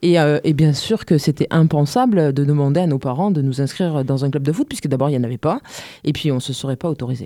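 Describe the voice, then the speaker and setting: Very fast and very deep, a woman's voice carries a dark, mellow tone with ordinary pitch variation. The sound is dry and close, with no echo. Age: 30s. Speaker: amateur women's futsal player, association member. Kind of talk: radio interview. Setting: radio studio.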